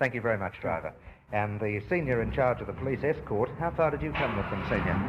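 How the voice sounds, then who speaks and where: With an Australian accent, a man speaks at a medium pitch and a very fast pace, over noticeable background noise. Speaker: radio news reporter. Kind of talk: radio news interview.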